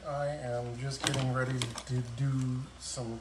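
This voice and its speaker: Noticeable background noise sits behind the voice. A man speaks at a very slow pace. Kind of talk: casual live-stream chat. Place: garage. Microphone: phone near.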